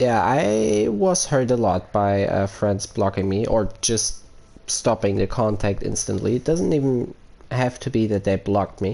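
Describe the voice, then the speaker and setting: A man with a German accent speaks at a fairly low pitch in a dark, mellow tone. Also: ordinary pitch variation, very even loudness. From Germany. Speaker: gaming streamer. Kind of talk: live stream chat. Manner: halting, many fillers.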